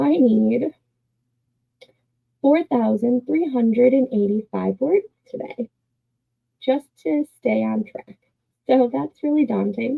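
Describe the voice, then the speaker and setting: Whispering quietly at a very slow pace, a woman leaves long, frequent pauses. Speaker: writer livestreaming writing sprints. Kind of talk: casual livestream chat. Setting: livestream. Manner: quiet, near whisper.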